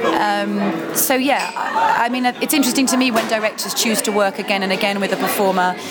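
With audible room echo and noticeable background noise, a woman speaks fairly quickly in a fairly high pitch, with ordinary pitch variation and very even loudness. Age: 30s. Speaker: cabaret performer. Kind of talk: casual chat. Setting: noisy coffee shop.

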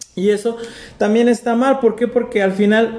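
There is noticeable background noise as a man speaks with a Mexican accent. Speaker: podcast host. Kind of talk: casual chat.

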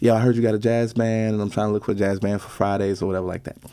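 Dark and mellow in tone, a man with a fairly low pitch speaks at a very fast pace. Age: 30s. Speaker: bass player and band leader. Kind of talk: casual interview.

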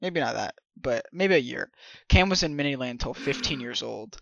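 A man speaks at a moderate pace with a fairly high pitch. His is an unremarkable speaking voice with ordinary pitch variation. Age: 20s. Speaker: podcast co-host. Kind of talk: casual chat.

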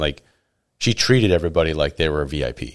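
A very clean recording with a silent background captures a man speaking with vocal fry. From Oregon, US Pacific Northwest. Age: 30s. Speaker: coworker and podcaster. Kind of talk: casual chat. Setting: studio.

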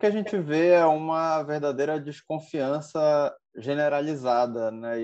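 At a fairly slow pace, a man speaks in an ordinary speaking voice with ordinary pitch variation. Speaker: lawyer, law professor and co-host. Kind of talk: casual panel discussion.

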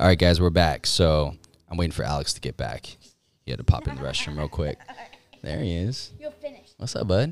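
With a very deep, low pitch and vocal fry, a man speaks in an animated tone with lively intonation at a fairly quick pace, broken by long, frequent pauses. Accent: American. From California, Orange County. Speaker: podcast host, clothing brand owner. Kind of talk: casual chat. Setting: studio.

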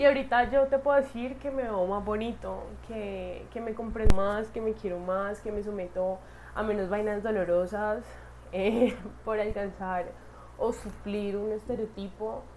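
Speaking at a fairly slow pace, a woman holds a fairly high pitch with fairly even intonation. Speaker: podcaster. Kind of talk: personal monologue. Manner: casual, halting with fillers.

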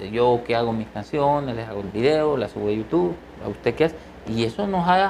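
Speaking at a fairly quick pace, a man is heard. His pitch swings very widely. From eastern El Salvador. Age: 50s. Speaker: musician and doctor. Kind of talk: interview.

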